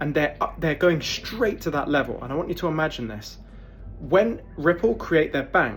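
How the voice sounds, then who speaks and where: A man speaks at a moderate pace. He has a British accent. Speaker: crypto YouTuber. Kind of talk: casual video monologue. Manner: animated.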